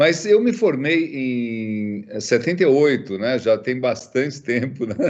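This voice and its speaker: A man's medium-pitched voice, very slow, with lively intonation. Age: 60s. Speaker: ophthalmologist and professor. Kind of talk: interview. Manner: halting, many fillers.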